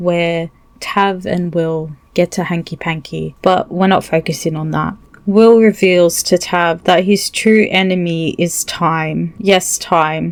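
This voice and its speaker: Her intonation fairly even, a woman speaks at a very slow pace in a fairly low pitch. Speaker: gaming video creator. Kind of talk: video essay commentary.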